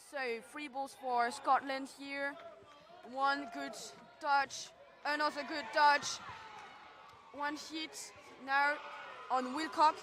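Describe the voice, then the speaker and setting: A woman with a French accent, high-pitched and bright, sharp in tone, at a very slow pace with long, frequent pauses. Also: big swings in loudness. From France. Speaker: sports commentator. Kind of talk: live commentary. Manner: animated.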